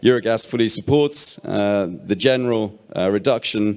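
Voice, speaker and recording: Normal pitch movement in a normal speaking voice. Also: man. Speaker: gas industry association head. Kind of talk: panel discussion. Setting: stage with audience.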